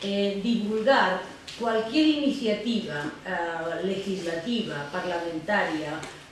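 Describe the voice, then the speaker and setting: The speech is very slow, with lively intonation. Audible room echo and noticeable background noise fill the recording. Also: woman, medium pitch for a woman. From Andalucía, Spain. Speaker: law philosophy professor, euthanasia advocate. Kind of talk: lecture.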